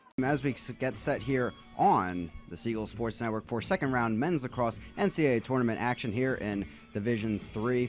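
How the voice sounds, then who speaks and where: A man talks at a moderate speed at a medium pitch. His pitch varies in an ordinary way while music plays behind him. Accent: American. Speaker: college sports play-by-play broadcaster. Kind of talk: live sports play-by-play commentary.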